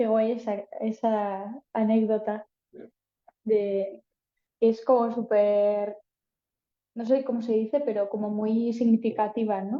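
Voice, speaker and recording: With a Basque accent, a woman speaks at a fairly high pitch in a flat monotone, moving at a very slow pace with long, frequent pauses. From Basque Country, Spain. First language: Basque (speaking Spanish). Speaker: singer-songwriter. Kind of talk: panel talk. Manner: casual, hesitant.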